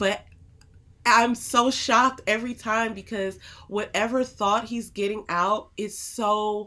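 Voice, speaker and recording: A woman's bright, sharp tone at medium pitch in a very clean recording with a silent background. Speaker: podcast co-host, married couple Bible discussion. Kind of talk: casual chat. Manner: fast; loud.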